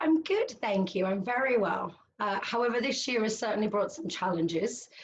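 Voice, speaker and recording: With a British accent, a woman speaks at a fairly high pitch and a moderate pace. Her intonation is lively. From United Kingdom. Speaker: cognitive hypnotherapist. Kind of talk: interview answer.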